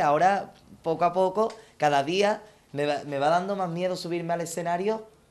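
A man with a high-pitched voice speaks at a moderate pace. His pitch rises and falls in an ordinary way. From Andalusia, Palma del Río (Córdoba); Andalusia, Spain. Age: 20s. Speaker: copla singer; TV interviewee. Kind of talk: self-presentation monologue. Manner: halting, many repetitions; animated. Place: garden.

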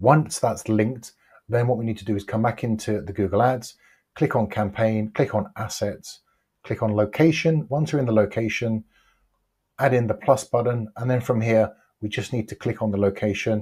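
A somewhat breathy man against a quiet background. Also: fairly even intonation, moderate pace. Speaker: online ads coach. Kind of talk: tutorial. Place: home room. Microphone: lapel.

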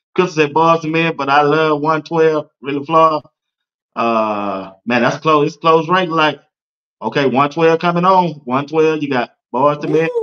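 A man with an American accent and an unremarkable speaking voice, fairly high in pitch, fairly slow in pace, with ordinary pitch variation. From Georgia, US. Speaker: sports talk show host. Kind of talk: casual sports talk livestream.

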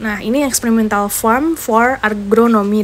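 A woman talks over light background noise. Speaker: campus tour guide vlogger. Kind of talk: casual tour commentary. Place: car.

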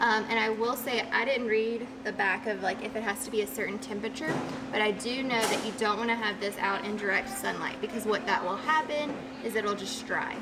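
A woman talks at a fairly quick pace. Music plays behind her. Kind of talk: tutorial. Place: workshop. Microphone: camera far.

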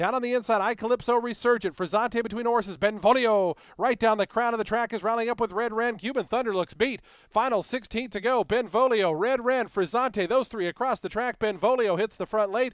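On a very clean recording with a silent background and a dry, close sound with no echo, a man speaks fairly quickly at a high pitch with fairly even intonation. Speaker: horse race caller. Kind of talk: live race call, rapid-fire play-by-play narration of a horse race. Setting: racetrack PA announcer booth. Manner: fast, rhythmic, clipped delivery, rattling off names and margins; builds intensity and urgency toward the stretch, crisp and authoritative.

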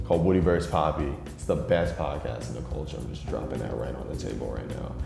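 With clear music in the background and audible room echo, a man with a very deep, low voice talks at a very fast pace, using ordinary pitch variation and big swings in loudness. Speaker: podcaster. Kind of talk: interview answer. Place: hall.

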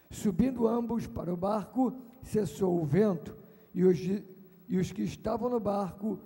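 The background stays quiet as a man talks fairly slowly. His intonation is lively. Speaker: preacher. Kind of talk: sermon scripture reading and prayer. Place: stage. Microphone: handheld.

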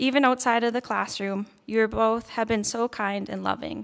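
Over a quiet background, a woman with a Canadian accent speaks at a moderate pace in a monotone, flat intonation. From Red Deer, Alberta; Alberta, Canada. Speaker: nursing graduate. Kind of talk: valedictory speech. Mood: grateful, warm. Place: stage. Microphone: podium.

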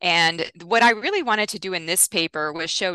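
A woman talks at a moderate pace in a bright, sharp tone. The background is quiet and the sound is dry, with no echo. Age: 50s. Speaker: nutrition scientist; guest. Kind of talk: interview. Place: home room. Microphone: headset.

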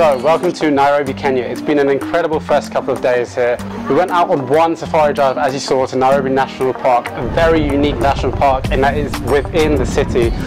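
A man at a very fast pace with hardly any pauses, ordinary pitch variation, and clear music in the background. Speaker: travel vlogger. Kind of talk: casual vlog chat. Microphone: lapel.

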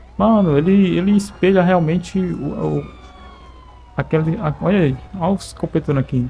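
A man speaks at a moderate pace with ordinary pitch variation against noticeable background noise. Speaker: gaming YouTuber. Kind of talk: gameplay commentary. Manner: animated.

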